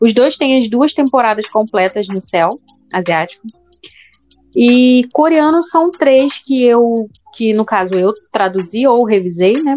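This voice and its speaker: Lively in intonation, a woman speaks at a fairly high pitch. Her pace is very slow. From Brazil, Rio de Janeiro. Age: 30s. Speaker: podcast co-host, teacher. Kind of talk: casual chat. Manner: loud.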